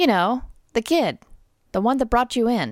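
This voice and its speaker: A raspy, put-on character voice moves at a moderate pace. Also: woman. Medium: read story. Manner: brusque, slangy.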